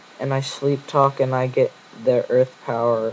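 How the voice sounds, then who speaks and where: A man at a medium pitch with monotone, flat intonation and a fairly slow pace, with noticeable background noise. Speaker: gaming commentator. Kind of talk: game commentary narration.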